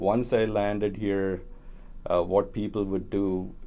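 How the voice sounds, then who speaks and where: Here a man speaks with a Tamil accent. His pace is fairly slow. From India (Kerala, Tamil family). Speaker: engineer and community organizer. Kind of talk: oral history interview. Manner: hesitant, many fillers.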